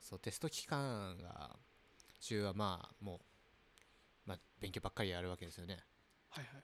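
A man talks with a very deep, low pitch and lively intonation. He keeps a moderate pace with long, frequent pauses. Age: 30s. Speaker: podcast co-host. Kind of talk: casual chat.

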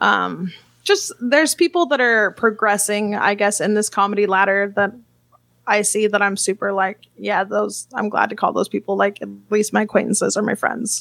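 A normal speaking voice comes at a moderate pace with ordinary pitch variation. The sound is dry and close, with no echo. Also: woman, medium pitch for a woman. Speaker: comedian. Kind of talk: casual comedic banter.

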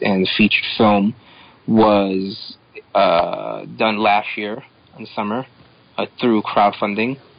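Against noticeable background noise, a man talks in a flat monotone at a fairly low pitch. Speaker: comic creator. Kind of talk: casual chat.

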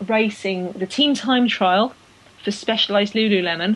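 This woman has an English accent and a fairly high pitch. She talks at a fairly slow pace with fairly even intonation. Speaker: cycling podcast host. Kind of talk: casual banter chat.

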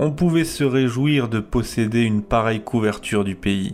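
An unremarkable speaking voice from a man, medium in pitch. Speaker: audiobook narrator. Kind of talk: literary audiobook reading, written first-person prose read aloud. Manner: measured, contemplative, reflective literary delivery.

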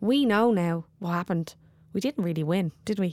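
On a very clean recording with a silent background and a dry, close sound with no echo, a woman with a Dublin accent speaks at a medium pitch and a moderate pace. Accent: Dublin Irish. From Dublin, Ireland. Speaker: actor and poet. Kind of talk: casual interview chat. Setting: theatre, between performances. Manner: animated, wired.

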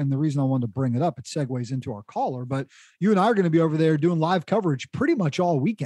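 With an American accent, a man talks at a very fast pace, his pitch fairly high, his intonation lively and his tone dark and mellow, in a dry, close sound with no echo over a quiet background. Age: 40s. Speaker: podcast host. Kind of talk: casual chat. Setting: studio.

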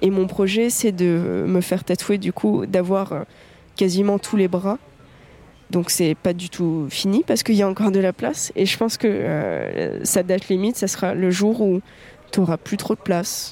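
Speaking at a fairly slow pace, a woman of medium pitch has a dark, mellow tone and ordinary pitch variation. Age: 20s. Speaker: tattoo enthusiast interviewee. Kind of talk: personal storytelling monologue. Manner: casual with frequent hesitations.

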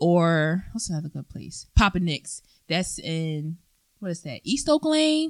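With an American accent and an ordinary speaking voice, a woman talks at a fairly slow pace in a fairly low pitch, using ordinary pitch variation and big swings in loudness. The sound is dry and close, with no echo. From Philadelphia, Pennsylvania. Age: 20s. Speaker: podcast guest. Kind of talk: casual chat.

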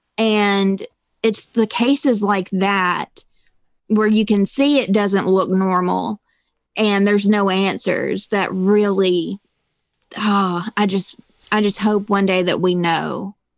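A woman with a Southern US accent at a very slow pace and medium pitch, her loudness very even and her intonation fairly even. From Mississippi. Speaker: true crime podcaster. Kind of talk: casual interview chat. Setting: video call. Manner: talkative.

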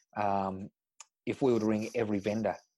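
Someone speaks in a rural Australian accent with a dark, mellow tone and monotone, flat intonation. The sound is dry and close with no echo, against a quiet background. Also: man. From Tumut, rural New South Wales, Australia. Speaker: real estate agency principal. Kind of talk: interview.

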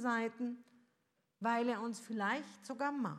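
A woman's fairly high voice unfolds very slowly. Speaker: preacher. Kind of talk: sermon. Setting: church. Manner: rhetorical, earnest, pastoral; measured, warm, reflective.

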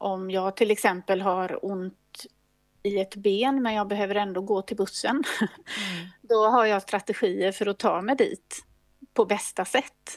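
This woman has a plain, everyday voice, pitched in the medium range. She talks fairly slowly, with fairly even intonation. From Sweden, Gothenburg. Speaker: equine veterinarian. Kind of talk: interview.

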